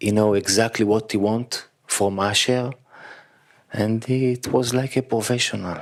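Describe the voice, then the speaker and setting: A man with an Israeli accent speaks fairly slowly in a fairly low voice, with long, frequent pauses. His intonation is flat and monotone, and his loudness stays very even. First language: Hebrew. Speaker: actor. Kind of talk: post-screening Q&A. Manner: halting.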